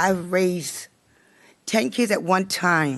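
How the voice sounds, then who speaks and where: A woman speaks with an American accent at a fairly low pitch. Her pitch varies in an ordinary way over a quiet background. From Maryland, Howard County. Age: 60s. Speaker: resident giving public testimony. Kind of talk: public hearing testimony. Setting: county council hearing room. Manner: emotional, halting.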